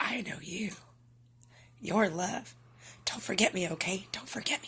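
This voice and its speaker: Someone whispers in a put-on character voice. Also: moderate pace. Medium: solo performance. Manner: warm, emotional, insistent.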